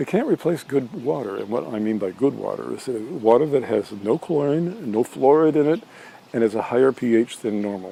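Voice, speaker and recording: A man speaks at a medium pitch with lively intonation and a fairly quick pace. Noticeable background noise runs behind him. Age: 60s. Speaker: holistic health practitioner and cooking video host. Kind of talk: casual health talk to camera. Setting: outdoors by a pool. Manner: halting, many fillers and restarts.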